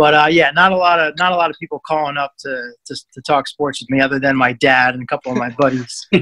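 A man with an American accent talks at a very fast pace with hardly any pauses and fairly even intonation. His tone is bright and sharp, and the sound is dry and close with no echo. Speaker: sports radio update reporter. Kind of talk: casual interview chat. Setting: video call.

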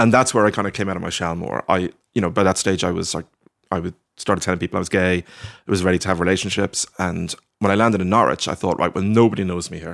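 A man with a Dublin accent talks at a very fast pace in a very deep, low pitch, with a dry, close sound with no echo on a very clean recording against a silent background. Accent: Dublin Irish. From Ireland, Dublin (Sandyford). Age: 40s. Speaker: novelist. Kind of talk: casual interview. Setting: at his home. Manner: halting, many fillers.

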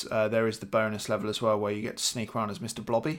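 This recording is very clean, with a silent background. A man speaks in a British accent. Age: 30s. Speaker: podcast co-host. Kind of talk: casual chat.

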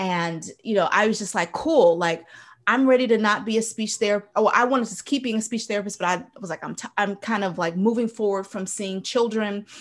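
With a plain, everyday voice, a woman talks at a fairly quick pace at medium pitch, her pitch varying in an ordinary way while her loudness swings a lot. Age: 30s. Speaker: public speaking coach and speech therapist. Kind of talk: casual interview chat.

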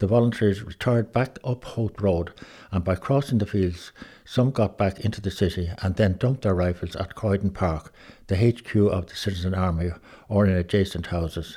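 An Irish accent colors this man's fairly low, somewhat breathy voice with a dark, mellow tone. He speaks at a moderate pace with ordinary pitch variation, and the recording is very clean against a silent background. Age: 80s+. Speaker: son of a 1916 participant. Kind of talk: reading aloud and reminiscing. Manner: halting.

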